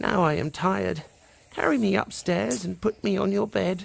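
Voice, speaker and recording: A man uses a put-on character voice pitched high. He keeps a moderate pace. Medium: read story.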